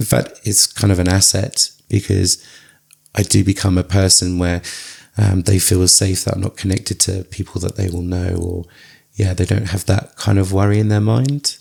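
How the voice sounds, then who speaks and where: A man's very deep, low voice, dark and mellow, somewhat breathy, with fairly even intonation. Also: moderate pace. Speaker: psychotherapist. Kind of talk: interview.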